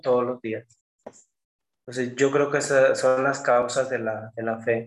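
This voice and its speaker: With an unremarkable speaking voice, a man talks at a medium pitch and a moderate pace. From Mexico, Jalisco. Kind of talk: casual interview.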